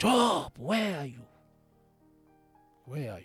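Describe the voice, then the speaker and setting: A booming put-on character voice with very wide pitch swings over faint music in the background. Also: man, fairly high pitch for a man. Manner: commanding.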